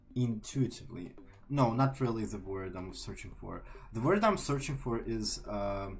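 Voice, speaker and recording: Moderate pace in a Ukrainian accent, with big swings in loudness and audible room echo. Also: man. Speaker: artist streamer. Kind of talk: casual chat. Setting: live stream. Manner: halting.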